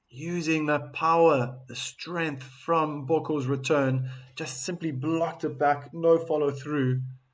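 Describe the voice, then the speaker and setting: A man with a South African accent at a very slow pace. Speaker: tennis commentator. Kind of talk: live commentary. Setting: live stream. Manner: animated.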